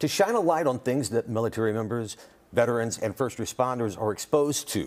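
Here a man talks at a fairly quick pace. His intonation is lively. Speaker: TV show host. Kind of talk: casual chat. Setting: studio. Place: studio.

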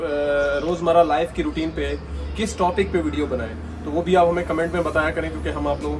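A man talks at an unhurried, moderate speed as clear music sounds behind him. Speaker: vlogger. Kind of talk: casual vlog chat. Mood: relaxed, chatty. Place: home room.

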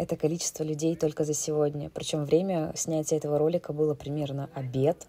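A woman with a very deep, low pitch and a dark, mellow tone speaks in monotone, flat intonation at a fairly quick pace with hardly any pauses. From Siberia, Russia. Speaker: travel and knitting vlogger. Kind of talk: travel vlog narration.

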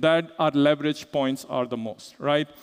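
A man's voice over a quiet background. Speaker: conference speaker. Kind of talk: lecture. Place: stage.

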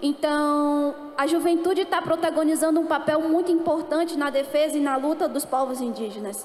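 With hardly any pauses, a woman speaks at a high pitch and a moderate pace with fairly even intonation, and audible room echo is present. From Amazonas, northern Brazil (Manaus); Amazonas, Brazil. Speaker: speaker. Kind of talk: panel talk. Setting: stage with audience. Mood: calm, earnest. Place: stage. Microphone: handheld.

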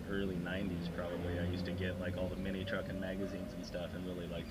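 The speech runs at a very fast pace over loud background noise. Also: man. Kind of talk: casual vlog chat. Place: car. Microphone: camera far.

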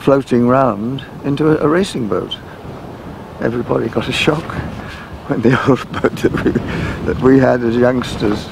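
With noticeable background noise and a dry sound free of echo, a man talks at a moderate pace with fairly even intonation. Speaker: interviewee. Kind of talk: interview answer.

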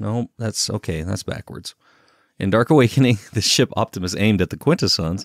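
This is a plain, everyday voice with lively intonation. The recording is very clean and dry, close-sounding with no echo, over a silent background. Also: man, fairly low pitch for a man, fairly quick pace. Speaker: YouTube narrator. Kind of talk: narration outtakes with stumbles.

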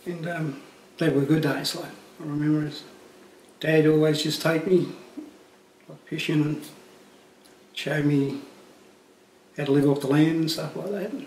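A man speaks in a fairly high, monotone, flat voice at a moderate pace with long, frequent pauses, audible room echo and light background noise. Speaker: legal aid client. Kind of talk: testimony. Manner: halting. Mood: calm, reflective, subdued. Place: home room.

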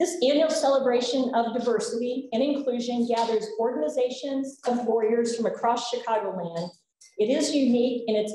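Audible room echo and light background noise surround a woman speaking at a fairly quick pace. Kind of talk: welcome speech. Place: hall. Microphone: podium.

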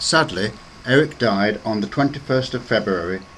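Lively intonation at a moderate pace comes through over noticeable background noise. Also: man. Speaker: former university air squadron member. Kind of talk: documentary narration.

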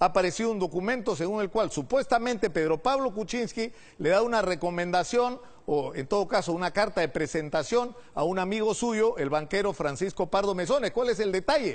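A man with a high voice speaks at a fairly quick clip, his intonation lively. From Peru. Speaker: TV news host. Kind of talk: TV interview. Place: studio. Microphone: lapel.

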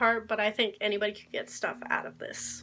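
This woman talks at a fairly quick pace. Her tone is bright and sharp. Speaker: book vlogger. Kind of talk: casual vlog. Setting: video recording. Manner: fast talker. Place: home room. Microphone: phone near.

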